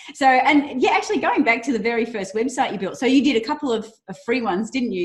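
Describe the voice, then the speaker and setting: Upbeat, somewhat breathy speech at a fairly quick pace. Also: woman. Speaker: interview host. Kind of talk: interview questions.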